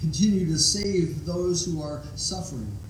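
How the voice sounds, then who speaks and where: A man with fairly high pitch speaks at a fairly slow pace, with noticeable background noise and audible room echo. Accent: American. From Ohio. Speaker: pastor. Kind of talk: chairing a congregational meeting; sermon and worship leading. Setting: church.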